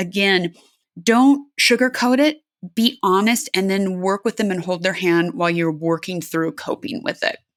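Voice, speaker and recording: A woman with an American accent, medium pitch, a plain, everyday voice, and a fairly slow pace, in a dry, close, very clean recording with no echo and a silent background. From California. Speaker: aerospace engineer and adventure athlete. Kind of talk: interview.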